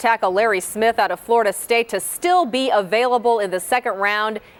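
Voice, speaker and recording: This woman has a normal speaking voice. Her pitch is fairly high. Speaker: TV sports anchor. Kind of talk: TV sports report.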